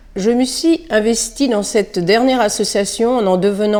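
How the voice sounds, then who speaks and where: An unremarkable speaking voice from a woman at a fairly slow pace. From Île-de-France. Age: 60s. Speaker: retired schoolteacher and local election candidate. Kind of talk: prepared campaign statement.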